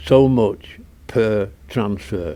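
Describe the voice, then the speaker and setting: A Northern English accent with ordinary pitch variation. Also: man. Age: 80s+. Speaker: retired cycle shop owner. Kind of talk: interview answer.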